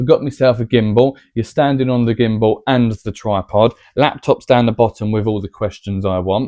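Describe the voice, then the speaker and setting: Speaking at a moderate pace with hardly any pauses, a man with an English accent keeps a medium pitch and fairly even intonation. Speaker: vlogger. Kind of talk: casual chat. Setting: at home, to camera. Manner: quiet normal voice, trying to be louder.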